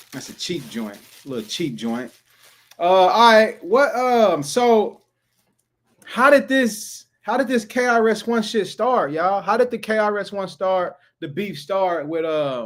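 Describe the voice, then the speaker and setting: A high-pitched man with an American accent, lively intonation and a fairly slow pace. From Texas. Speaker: streamer reacting to music. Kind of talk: casual livestream chat. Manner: animated.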